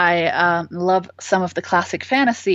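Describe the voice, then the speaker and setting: Speaking at a fairly slow pace, a woman with a German accent uses lively intonation. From Germany. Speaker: author. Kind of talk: interview. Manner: hesitant, many fillers.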